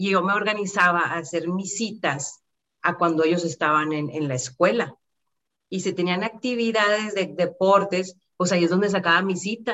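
A woman with a plain, everyday voice speaks at medium pitch and a moderate pace, with ordinary pitch variation. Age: 40s. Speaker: insurance advisor. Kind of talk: interview.

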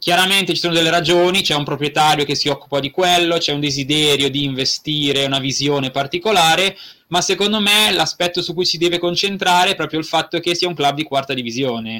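A very fast pace with a bright, sharp tone and ordinary pitch variation. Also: man, fairly high pitch for a man. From northern Italy, Brianza near Milan. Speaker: football club community programme worker. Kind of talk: casual interview.

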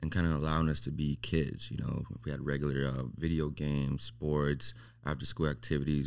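Talking at a fairly quick pace, a man uses a very deep, low pitch with vocal fry. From Las Vegas, raised from Mexico. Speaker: barber. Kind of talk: casual chat.

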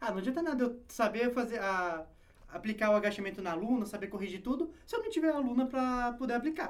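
Extremely high in pitch, a man rushes along at a very fast pace with ordinary pitch variation. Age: 20s. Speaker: online personal trainer. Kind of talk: casual interview chat.

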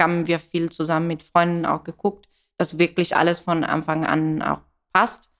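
On a very clean recording with a silent background, a woman with an Italian accent speaks slowly-ish in a fairly low pitch, at a fairly slow pace. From Italy. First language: Italian (speaking German). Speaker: coffee roaster and business founder. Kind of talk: interview. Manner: hesitant, many fillers.

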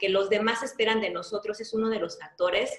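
This woman has a plain, everyday voice, pitched fairly high, with fairly even intonation at a moderate pace. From Mexico, Yucatán (Mérida). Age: 40s. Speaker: life coach. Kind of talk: interview.

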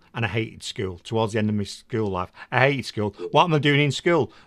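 Talking very fast, a man uses a medium pitch with ordinary pitch variation. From England. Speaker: podcast host. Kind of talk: interview. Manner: enthusiastic.

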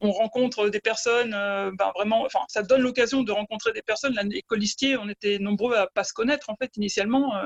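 An ordinary speaking voice at a fairly quick pace, with hardly any pauses. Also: woman, fairly high pitch for a woman, fairly even intonation, dry, close sound with no echo. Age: 40s. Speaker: unelected municipal election candidate. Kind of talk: remote interview. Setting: internet call.

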